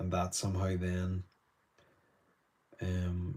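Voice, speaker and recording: With a Northern Irish accent, a man speaks in a very deep, low, somewhat breathy voice, dark and mellow in tone and monotone and flat in intonation. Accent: Northern Irish, softer North Down. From Northern Ireland, Newtownards, North Down. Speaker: artist. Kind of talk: live painting demonstration. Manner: casual, chatty.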